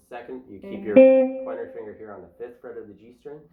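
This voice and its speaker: A man talks fairly quickly. Music can be heard behind him. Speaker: guitar teacher. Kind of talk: guitar lesson tutorial.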